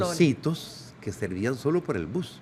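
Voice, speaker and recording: Moderate-paced speech from a man, pitch swinging very widely. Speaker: former Olympic judoka, sports physician and radio voice performer. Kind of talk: casual interview answer.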